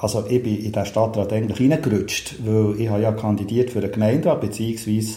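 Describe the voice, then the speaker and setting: A man's fairly low voice with a Bernese accent, fairly quick, with hardly any pauses and fairly even intonation, amid noticeable background noise and audible room echo. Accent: Bernese Swiss German. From Switzerland, Bern. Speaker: city councillor and cultural manager. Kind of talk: casual interview chat. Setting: in a chalet.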